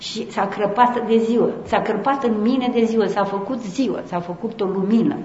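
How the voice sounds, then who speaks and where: A woman talks at a fairly slow pace. There is audible room echo and noticeable background noise. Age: old. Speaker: Orthodox nun and speaker. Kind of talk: conference talk.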